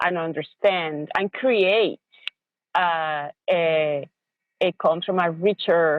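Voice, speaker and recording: In a Spanish accent, a woman speaks at a very slow pace with very even loudness, a fairly low pitch and fairly even intonation. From Venezuela. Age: middle-aged. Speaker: educator and parent. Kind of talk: interview. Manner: halting, many fillers and repeated words.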